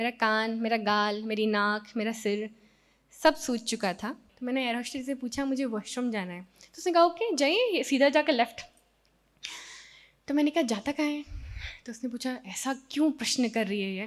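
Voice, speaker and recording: This woman's high voice swings widely in loudness from moment to moment. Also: ordinary pitch variation. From Madhya Pradesh, Sehore district village. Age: 30s. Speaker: mountaineer. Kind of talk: motivational talk. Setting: stage with audience.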